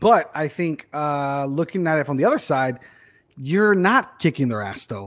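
A man's fairly high, lively voice, an ordinary speaking voice, on a very clean recording with a silent background. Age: 20s. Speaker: wrestling podcast co-host. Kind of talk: casual chat.

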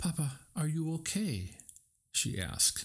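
Pitch rises and falls over a very wide range. There is a somewhat breathy quality to the voice. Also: man. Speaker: audiobook narrator. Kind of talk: scripted folk tale narration, read aloud. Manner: gentle, warm storytelling pace; rhythmic, with playful sound-effect beats and voiced dialogue.

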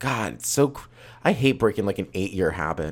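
A man speaks with vocal fry and lively intonation. The recording is very clean, with a silent background. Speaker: comedian. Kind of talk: casual chat. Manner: fast.

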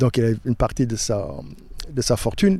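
Speaking at a moderate pace, a man with a medium pitch and a dark, mellow tone is heard on a very clean recording with a silent background. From Louisiana, Lafourche (Golden Meadow). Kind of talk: interview.

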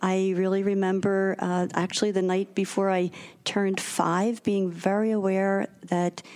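In an American accent, a woman at medium pitch speaks at a fairly slow pace with monotone, flat intonation and very even loudness. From Philadelphia. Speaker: religious sister. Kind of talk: radio interview. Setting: recorded from home.

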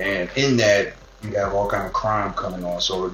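Noticeable background noise runs under the recording. Through it, a man talks at a moderate pace. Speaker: hip hop artist and producer. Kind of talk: recorded interview explaining lyrics.

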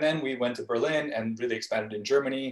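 With a Canadian accent, a man talks in an unremarkable speaking voice at medium pitch, his intonation fairly even. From Vancouver, Canada. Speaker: startup founder. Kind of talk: interview.

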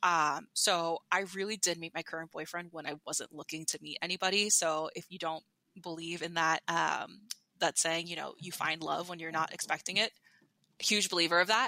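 A woman with an American accent talks at a moderate pace in a fairly low pitch, and hers is a normal speaking voice. Her intonation stays fairly even while her loudness swings widely. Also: dry, close sound with no echo. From New York. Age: 30s. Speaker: anonymous guest sharing dating story. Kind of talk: personal testimony in casual interview.

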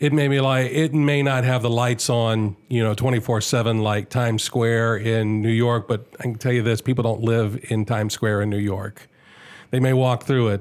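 With an American accent, a man speaks at a medium pitch. His pace is moderate and his intonation fairly even. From US South, Augusta, Georgia. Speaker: film festival organizer, former radio worker. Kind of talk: casual interview chat.

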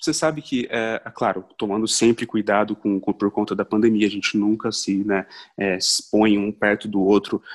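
With a quiet background and a dry, close sound with no echo, a man speaks at a moderate pace, his fairly low pitch held in fairly even intonation. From Brazil, Londrina, Paraná. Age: 20s. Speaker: musician and songwriter. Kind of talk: casual interview. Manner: halting, many repetitions.

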